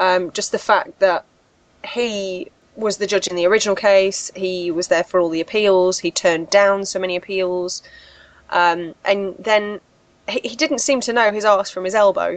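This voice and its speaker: In a British accent, a woman speaks at a moderate pace with ordinary pitch variation. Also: medium pitch for a woman. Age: 30s. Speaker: horror podcast co-host. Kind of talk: casual chat.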